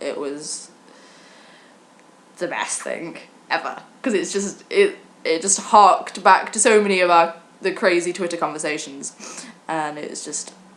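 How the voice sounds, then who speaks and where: This woman has a British accent and a fairly low pitch. She talks at a fairly slow pace with ordinary pitch variation. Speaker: vlogger. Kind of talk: casual chat. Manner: halting.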